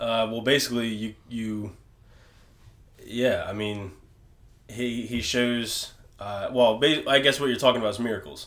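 A medium-pitched man at a fairly slow pace, with fairly even intonation, long, frequent pauses and audible room echo. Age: 20s. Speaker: apparel business owner and podcaster. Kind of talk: casual discussion.

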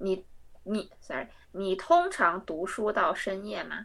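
Lively intonation marks speech that unfolds at a very slow pace. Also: woman. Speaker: language exchange partner, student. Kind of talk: language exchange practice.

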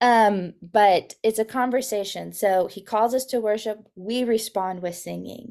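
With an American accent, a woman uses a normal speaking voice at a fairly high pitch and a fairly slow pace. Her intonation stays fairly even while her loudness swings a lot. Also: hardly any pauses, very clean recording, silent background. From Texas, Guatemala, Arizona and Mexico. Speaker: children's ministry director. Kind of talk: podcast interview.

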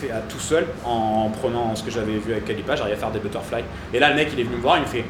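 There is audible room echo and noticeable background noise in this recording. A man speaks very fast at a medium pitch. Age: 30s. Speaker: CrossFit gym coach. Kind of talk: casual interview. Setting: in a gym.

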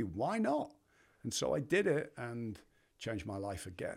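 In a very clean recording with a silent background, a man with an English accent uses vocal fry and very wide pitch swings. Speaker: brand leader and retreat founder. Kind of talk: casual interview conversation.

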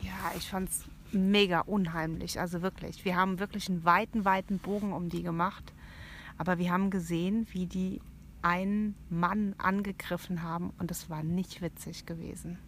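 A woman speaks at a moderate pace in a medium pitch, somewhat breathy, with monotone, flat intonation. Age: 40s. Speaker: aunt of the hosts, guest. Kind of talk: casual chat with scary storytelling. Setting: inside a tent at a campsite at night.

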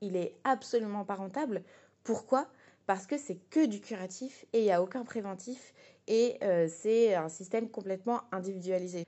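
Moderate pace and ordinary pitch variation from a woman with a medium pitch. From France, Essonne. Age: 20s. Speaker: political activist. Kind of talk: political testimony. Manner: hesitant, with fillers.

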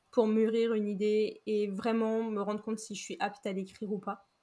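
Recorded very cleanly with a silent background, a woman speaks at a fairly high pitch. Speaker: podcast host and writer. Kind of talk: interview.

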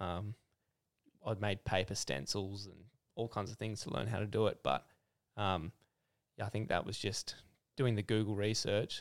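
With an Australian accent, a man talks at a moderate pace in a fairly low pitch, with ordinary pitch variation and long, frequent pauses. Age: 20s. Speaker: clothing brand founder. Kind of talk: casual interview. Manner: casual, filler-heavy.

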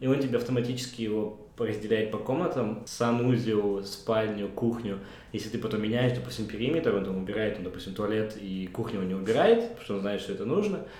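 Noticeable noise runs behind a man speaking at a fairly quick pace. His voice is fairly low, with ordinary pitch variation. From Kazakhstan. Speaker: podcast host. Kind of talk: casual chat.

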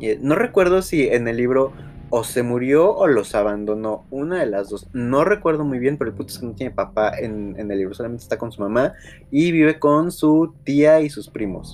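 An animated man at medium pitch with lively intonation, moderate pace, and noticeable background noise. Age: 20s. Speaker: podcast host. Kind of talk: casual chat.

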